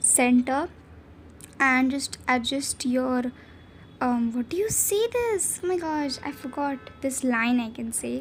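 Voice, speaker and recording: Against noticeable background noise, a woman speaks fairly slowly at a high pitch. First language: not English. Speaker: video editing tutorial creator. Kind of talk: tutorial. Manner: casual, hesitant with fillers.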